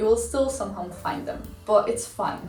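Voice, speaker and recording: A woman speaks at a moderate pace in a room with audible echo. Noticeable background noise runs underneath. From outside the UK. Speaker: YouTuber, former university student. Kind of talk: casual vlog review. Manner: casual, filler-heavy.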